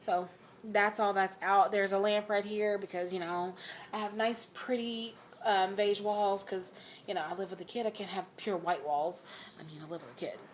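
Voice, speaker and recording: Her loudness swings widely. The woman's pitch is medium. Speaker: YouTuber, radiology tech. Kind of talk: casual vlog chat. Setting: at home, on camera. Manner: fast.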